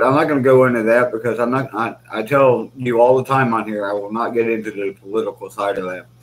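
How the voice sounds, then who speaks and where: The man talks at a fairly quick pace with fairly even intonation. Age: 40s. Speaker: military veteran. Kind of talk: casual talk to camera. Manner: relaxed, conversational. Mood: venting, earnest. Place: kitchen. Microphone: webcam.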